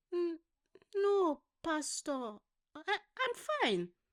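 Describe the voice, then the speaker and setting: A woman performs a put-on character voice at an extremely high pitch, with very wide pitch swings. The sound is dry and close, with no echo. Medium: read story. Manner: hesitant, stammering, polite.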